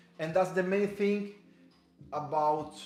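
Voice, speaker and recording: Audible room echo surrounds a man who speaks with a slight Spanish accent and ordinary pitch variation. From Cuba. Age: 30s. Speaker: fitness instructor. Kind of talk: live workout class. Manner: halting, many fillers and repeats.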